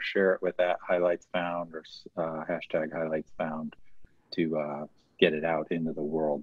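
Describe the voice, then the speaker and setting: A man speaks against a quiet background, his voice dry with no echo. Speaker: event organizer; event host. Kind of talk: announcements. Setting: video call. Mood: light, joking. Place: home room. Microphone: video call.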